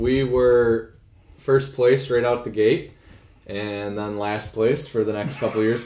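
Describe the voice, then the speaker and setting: In an American accent, an ordinary speaking voice moves at a fairly slow pace. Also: man. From northern Michigan, US. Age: 20s. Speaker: financial advisor. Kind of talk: casual interview chat. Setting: home kitchen.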